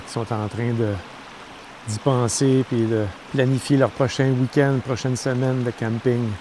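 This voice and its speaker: With a Quebec accent, a man at a medium pitch speaks in a relaxed tone and a monotone, flat intonation against noticeable background noise. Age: 60s. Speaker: camping vlogger. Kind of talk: casual vlog talk to camera. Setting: outdoors at a campsite. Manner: relaxed, with frequent hesitations.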